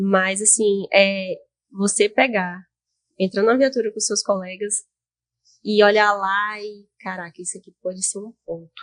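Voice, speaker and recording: A woman's medium-pitched, monotone, flat voice at a fairly slow pace, with long, frequent pauses, big swings in loudness and a dry, close sound with no echo. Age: 20s. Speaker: highway police officer. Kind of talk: interview. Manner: halting.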